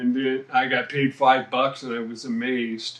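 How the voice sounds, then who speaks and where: Noticeable background noise sits behind this man's medium-pitched voice. He speaks fairly slowly, with fairly even intonation. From Reno, Nevada, US West. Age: 60s. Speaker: rock drummer. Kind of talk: interview. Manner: halting, many fillers.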